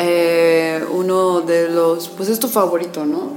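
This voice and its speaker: Over music in the background and audible room echo, a woman speaks at a fairly low pitch. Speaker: internet radio host. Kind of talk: radio interview.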